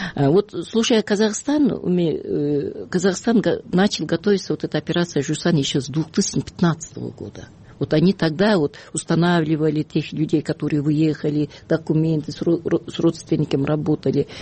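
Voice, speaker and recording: A somewhat breathy woman's voice, very deep and low in pitch, with ordinary pitch variation. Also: moderate pace. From Kyrgyzstan. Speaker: human rights activist. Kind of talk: radio interview. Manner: halting, many fillers.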